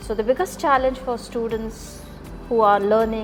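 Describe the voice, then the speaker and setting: With music playing in the background, a woman talks in a fairly high voice, her intonation fairly even. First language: not English. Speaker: English teacher. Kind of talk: interview.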